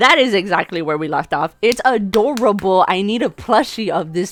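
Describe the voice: Someone is doing plain reading aloud here.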